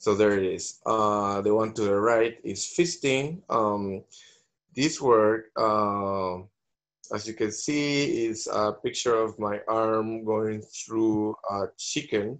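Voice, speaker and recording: Over a quiet background, a man with a Spanish accent speaks at a very slow pace. His pitch is fairly low, with ordinary variation. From Venezuela. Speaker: visual artist. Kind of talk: panel discussion. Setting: video call. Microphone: video call.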